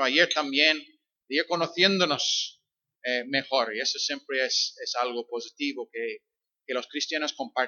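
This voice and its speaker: A man with an English accent and fairly high pitch, ordinary pitch variation, moderate pace. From Northern Ireland. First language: English (speaking Spanish). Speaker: visiting pastor. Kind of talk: sermon. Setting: church.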